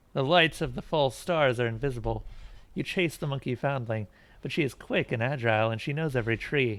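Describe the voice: The speaker reads aloud plainly. Pitch moves up and down in an ordinary way.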